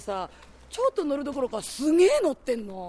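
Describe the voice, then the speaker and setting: Music plays in the background as a woman speaks at a fairly quick pace. Her high voice swings very widely in pitch. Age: 30s. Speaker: travel show reporter. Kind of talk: travel show narration and reactions. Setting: outdoors on location. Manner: animated.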